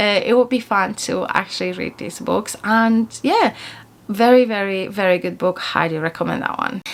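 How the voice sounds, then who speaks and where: A woman with a Polish accent and ordinary pitch variation, amid noticeable background noise. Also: medium pitch for a woman, moderate pace. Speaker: book YouTuber. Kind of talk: casual monthly book review vlog. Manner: hesitant, with fillers and restarts.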